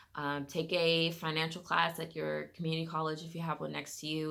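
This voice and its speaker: Bright and sharp in tone yet very deep in pitch, a woman speaks with an American accent in a monotone, flat way, with audible room echo. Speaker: lifestyle vlogger. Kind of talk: personal finance vlog, casual talk to camera. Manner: fast; casual, many fillers.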